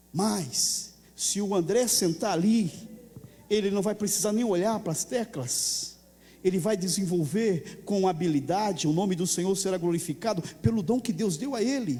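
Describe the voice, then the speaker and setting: A man at high pitch, with a dark, mellow tone, ordinary pitch variation, fairly slow pace, long, frequent pauses and audible room echo. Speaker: pastor. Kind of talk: sermon.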